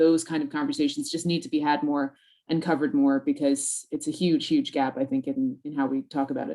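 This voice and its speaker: Speaking very fast with an American accent, a woman uses a fairly low pitch that swings very widely. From United States. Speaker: news editor. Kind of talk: roundtable discussion.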